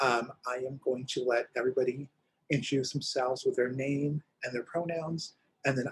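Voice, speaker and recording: The man's voice sits fairly high in pitch and sounds somewhat breathy. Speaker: LGBTQ center director and panel moderator. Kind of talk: panel moderation. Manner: fast.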